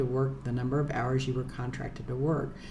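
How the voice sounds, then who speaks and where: A woman rattles along at a very fast pace, with noticeable background noise and audible room echo. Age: 60s. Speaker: lawyer. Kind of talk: casual monologue. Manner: halting, many fillers.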